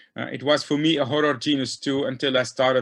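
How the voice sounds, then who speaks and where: A man speaks at a fairly quick pace with a non-native accent. The background is quiet. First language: not English. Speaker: diatom taxonomist. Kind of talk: lecture. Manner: halting.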